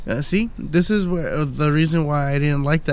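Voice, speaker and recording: In an unremarkable speaking voice, a man talks at a fairly quick pace with a fairly high pitch and ordinary pitch variation. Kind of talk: angry rant, profane heated banter. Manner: worked up, irritated, swearing heavily.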